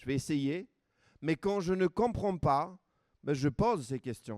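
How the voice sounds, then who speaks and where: Lively, fairly high-pitched speech from a man with an Armenian accent at a moderate pace, dry and close with no echo on a very clean recording with a silent background. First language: Armenian (speaking French). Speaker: preacher. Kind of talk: sermon.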